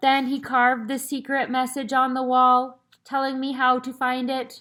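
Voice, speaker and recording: In a put-on character voice, a woman speaks high and flat in monotone at a moderate pace, on a very clean recording with a silent background. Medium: read story. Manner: formal, archaic, solemn.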